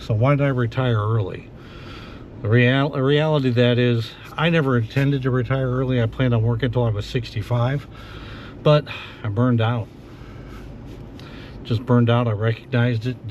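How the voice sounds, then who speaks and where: Speaking at a fairly quick pace with fairly even intonation, the voice leaves long, frequent pauses amid noticeable background noise. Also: man, medium pitch for a man. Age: 60s. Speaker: retiree after a manufacturing career. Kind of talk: casual podcast talk to camera. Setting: in a car. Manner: reflective, relaxed, with frequent fillers.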